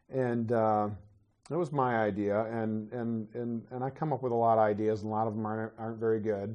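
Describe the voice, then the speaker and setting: Here a man talks at a medium pitch. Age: 50s. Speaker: pastor. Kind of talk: sermon. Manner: halting.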